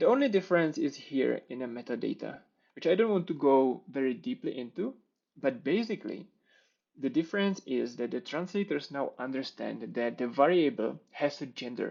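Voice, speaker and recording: Speaking in a Czech accent at a moderate pace, a man uses lively intonation and a fairly high voice. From Czech Republic. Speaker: software developer. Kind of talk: conference talk with live coding demo.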